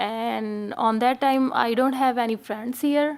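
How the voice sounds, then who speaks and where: With an Indian accent, a woman talks at a very slow pace. Her pitch is fairly high and her intonation fairly even. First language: Hindi and Punjabi. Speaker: fashion designer. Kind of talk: panel discussion. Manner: halting.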